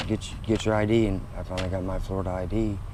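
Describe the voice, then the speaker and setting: In a Midwestern American accent, a man speaks at a very fast pace with a fairly low pitch and monotone, flat intonation, with audible room echo. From Indiana. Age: 40s. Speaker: homeless man. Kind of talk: interview. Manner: halting.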